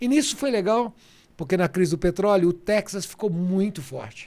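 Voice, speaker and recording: Here a man talks at a moderate pace with lively intonation. The recording is very clean, with a silent background. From Goiás, central Brazil. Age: 60s. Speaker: businessman and politician. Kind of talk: interview.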